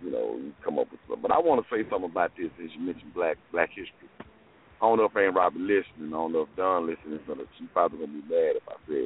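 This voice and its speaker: A man talks at a very fast pace with hardly any pauses. His loudness swings widely amid noticeable background noise. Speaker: caller. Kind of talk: casual chat. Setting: phone call.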